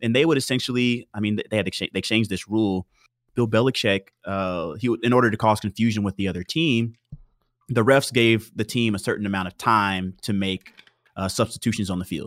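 An unremarkable speaking voice, this man talks at a fairly quick pace with a fairly low pitch, ordinary pitch variation and an American accent, in a dry, close sound with no echo on a very clean recording with a silent background. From Texas, Houston. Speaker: NFL football player. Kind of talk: casual chat.

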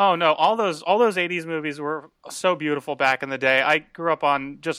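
On a very clean, dry, close recording with a silent background and no echo, a man speaks at a moderate pace and fairly high pitch, his tone bright and sharp, with ordinary pitch variation. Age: 30s. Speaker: comedian and show host. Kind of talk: casual chat.

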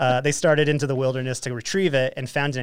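This man has an American accent and talks at a very fast pace. The recording is very clean, with a silent background. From Utah, Ogden area. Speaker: podcast host. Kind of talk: casual chat; reading news aloud.

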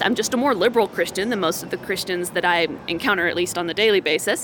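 Noticeable background noise sits behind the recording. A woman talks with ordinary pitch variation. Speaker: political candidate. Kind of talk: interview. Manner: fast talker; animated.

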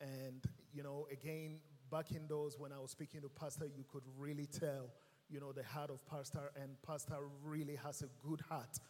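Somewhat breathy and fairly high-pitched, a man talks at a moderate pace. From Ghana. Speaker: guest preacher. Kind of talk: sermon. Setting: church with congregation. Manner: animated.

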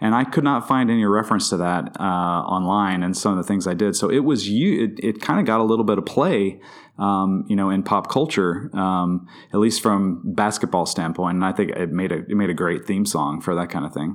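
In a very clean recording with a silent background, a man with a plain, everyday voice talks at a fairly quick pace, his pitch fairly low with ordinary variation. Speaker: podcast guest. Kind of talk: casual chat.

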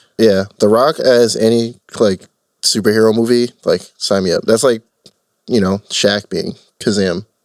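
Medium pitch, ordinary pitch variation and a moderate pace from a man with an unremarkable speaking voice. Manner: joking, laid-back.

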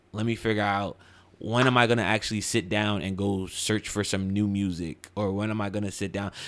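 A plain, everyday voice from a man with an American accent, fairly low in pitch, with fairly even intonation and a moderate pace on a very clean recording with a silent background. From Central New Jersey. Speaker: DJ. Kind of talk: casual chat. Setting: studio.

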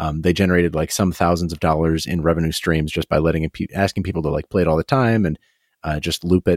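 A man talks at a very fast pace with fairly even intonation. His pitch is very deep and low. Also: dry, close sound with no echo, very clean recording, silent background. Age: 30s. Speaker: podcast co-host. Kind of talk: casual chat.

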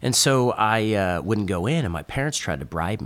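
Lively intonation marks a man speaking with an American accent on a very clean recording with a silent background. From Northern California. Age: 40s. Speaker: surf clothing brand owner. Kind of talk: casual chat.

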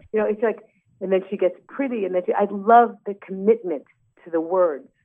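This woman speaks in a New York accent. Her pitch is medium, with ordinary pitch variation. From New York, Brooklyn. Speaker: singer and actress. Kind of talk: interview. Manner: halting, many fillers.

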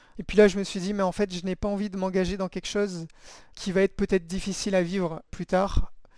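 Heard in a very clean recording with a silent background, a man speaks at a moderate pace with a high pitch. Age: 30s. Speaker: dating app user giving testimony. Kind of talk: testimony. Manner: halting, many hesitations.

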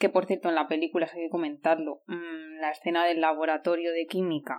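A woman's fairly low-pitched, fairly quick delivery in an ordinary speaking voice, on a very clean recording with a silent background. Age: 30s. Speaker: podcast host. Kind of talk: casual chat.

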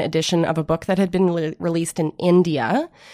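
Speaking at a fairly quick pace in a plain, everyday voice, a woman of medium pitch with an American accent is recorded with a dry, close sound and no echo. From Illinois and Vancouver, Canada. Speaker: comics publisher. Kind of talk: interview. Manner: casual, lots of 'like'.

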